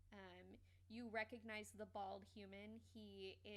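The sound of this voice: The clip features an unforced reading voice.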